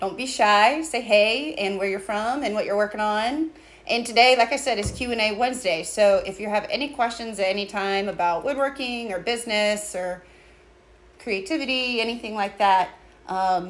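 With ordinary pitch variation, a woman talks at a moderate speed. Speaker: small business co-owner host. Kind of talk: casual livestream chat. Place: workshop. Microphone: phone near.

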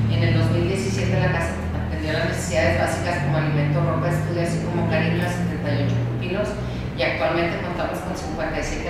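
A woman speaks over loud background noise. Room echo is audible. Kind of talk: reading a letter aloud in a meeting. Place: meeting room.

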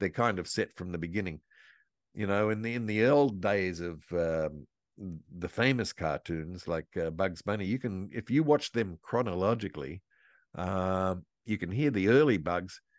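A man's very deep, low voice with lively intonation at a moderate pace, in a dry sound with no echo over a quiet background. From Australia. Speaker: voice actor and impressionist. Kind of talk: interview answer. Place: home room. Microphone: video call.

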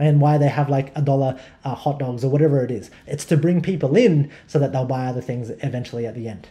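Talking at a very fast pace with hardly any pauses, a man with an Australian accent has a dark, mellow, somewhat breathy tone, fairly high pitch and ordinary pitch variation. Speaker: online marketing educator. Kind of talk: tutorial. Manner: repetitive, stammering restarts. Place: home room.

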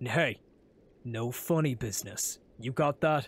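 In a very clean recording with a silent background, a man uses a put-on character voice at a medium pitch and a fairly slow pace. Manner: serious, stern.

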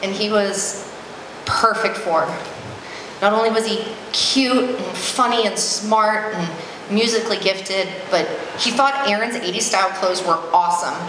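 Amid noticeable background noise and audible room echo, a woman talks at a fairly slow pace with a fairly high pitch. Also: ordinary pitch variation. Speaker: maid of honor. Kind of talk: wedding reception toast, personal and sentimental. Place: hall. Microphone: handheld.

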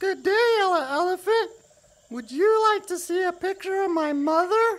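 This cartoonish character voice sits at an extremely high pitch. The pace is moderate. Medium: puppet. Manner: upbeat.

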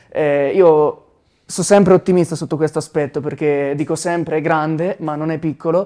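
A man with a fairly high pitch and a dark, mellow tone speaks at a moderate pace with fairly even intonation. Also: quiet background. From Tuscany, Arezzo province (Sansepolcro). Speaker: musician, band member. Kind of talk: interview. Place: studio. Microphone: lapel.

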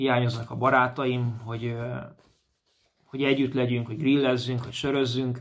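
At a moderate pace, the man talks with monotone, flat intonation. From Hungary, Komló, Baranya county; Hungary. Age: 30s. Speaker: amateur footballer reporting from abroad. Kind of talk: casual video report. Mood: calm, a little wistful. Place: home room. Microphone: phone near.

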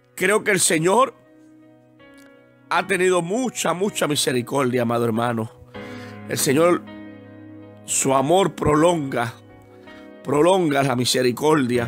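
Music plays in the background while a man talks at a fairly high pitch with lively intonation. His pace is fairly slow, with long, frequent pauses. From Puerto Rico. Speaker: evangelist preacher. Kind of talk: sermon.

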